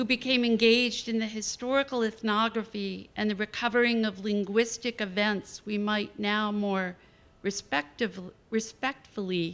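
Intonation stays fairly even as a woman speaks at a fairly slow pace. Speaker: visiting poet lecturer. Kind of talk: lecture. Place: hall. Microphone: podium.

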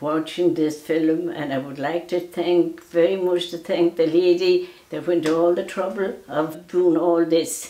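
A woman with a western Irish accent speaks at a fairly slow pace amid audible room echo. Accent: rural west of Ireland. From Ireland, County Mayo; Ireland. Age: 90s. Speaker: elderly storyteller. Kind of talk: casual chat; interview answer. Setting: at home. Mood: grateful, gentle, reflective. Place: home room.

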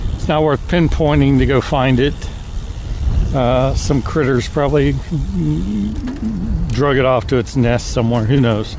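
At a moderate pace, a man speaks with very even loudness and long, frequent pauses, in a dry sound with no echo over noticeable background noise. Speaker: vlogger. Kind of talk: casual vlog chat. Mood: relaxed, mildly wry. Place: bicycle.

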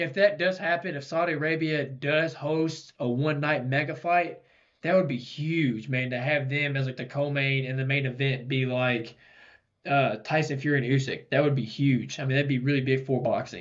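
A man's fairly even intonation and moderate pace come through against a quiet background. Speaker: podcast co-host. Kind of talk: casual podcast commentary. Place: studio. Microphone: studio mic.

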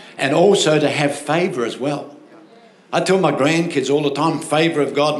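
Audible room echo surrounds a man who speaks at a fairly quick pace. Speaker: pastor. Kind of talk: sermon. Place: stage. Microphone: handheld.

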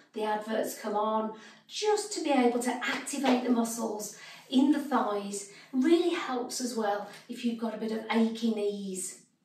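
A woman speaks at a fairly slow pace. Audible room echo and light background noise surround her voice. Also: ordinary pitch variation. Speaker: exercise instructor. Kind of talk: tutorial.

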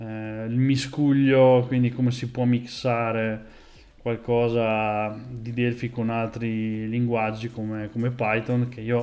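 Speaking very slowly, a man keeps his intonation flat and monotone. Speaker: programming streamer. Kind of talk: casual live stream chat. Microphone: earbuds.

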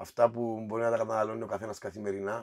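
Over a quiet background, a man talks at a very fast pace. His pitch is fairly low. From Cyprus. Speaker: café co-owner; podcast guest. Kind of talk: casual chat. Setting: wine cellar. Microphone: echoey, eerie sound from the cellar.

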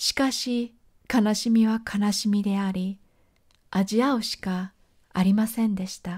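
On a very clean recording with a silent background, a woman speaks somewhat breathily with fairly even intonation and long, frequent pauses. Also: medium pitch for a woman, fairly slow pace. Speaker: podcast host reading her journal. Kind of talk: reading aloud.

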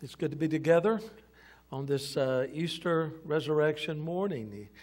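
The pace is moderate. Pitch moves with ordinary variation. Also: man. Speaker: senior pastor. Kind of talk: sermon. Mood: warm, joking, upbeat. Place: church.

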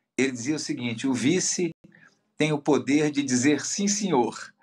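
The speaker is a man with a medium pitch. He talks at a fairly slow pace with lively intonation. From Minas Gerais, Brazil. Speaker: politician. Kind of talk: interview. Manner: fluent, articulate. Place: office. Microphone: video call.

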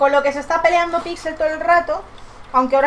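The woman talks at a very fast pace. Light background noise can be heard. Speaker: home vlogger. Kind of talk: casual vlog chat. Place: home room. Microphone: webcam.

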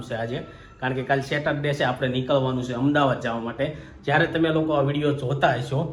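A man speaks at medium pitch. The room echo is audible, and there is light background noise. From Gujarat, India. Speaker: family vlogger. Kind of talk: casual vlog chat. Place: home room. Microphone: phone near.

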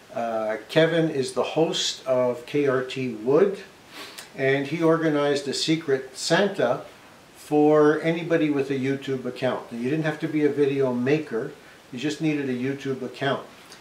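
There is audible room echo around a man speaking with fairly even intonation. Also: fairly slow pace. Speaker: woodworking channel host. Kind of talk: casual vlog chat. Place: workshop. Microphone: camera far.

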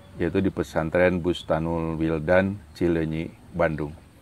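A man with a very deep, low voice and fairly even intonation talks at a fairly slow pace, the sound dry with no echo and light background noise behind it. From Sumedang, West Java; West Java, Indonesia. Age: 60s. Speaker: retired civil servant, religious council leader; religious council leader. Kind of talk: interview. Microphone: lapel.

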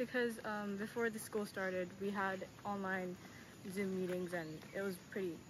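Against noticeable background noise, a woman speaks at a fairly slow pace with ordinary pitch variation and long, frequent pauses. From Tokyo, Japan. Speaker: university student. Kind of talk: interview. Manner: hesitant, many fillers. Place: street. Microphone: phone near.

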